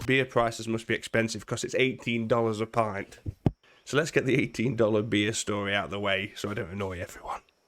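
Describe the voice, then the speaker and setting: A man with a medium-pitched voice and some vocal fry talks at a fairly quick pace. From England. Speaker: gaming streamer. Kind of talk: gameplay commentary. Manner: casual, joking.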